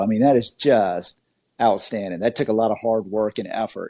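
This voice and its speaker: A man's dark, mellow voice with a slight Southern US accent. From Georgia, US South. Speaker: podcast host. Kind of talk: interview. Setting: online audio room. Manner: animated.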